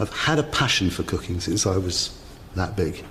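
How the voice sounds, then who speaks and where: A man with a very deep, low voice talks while noticeable background noise fills the recording. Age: 50s. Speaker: cooking contestant. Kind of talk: interview.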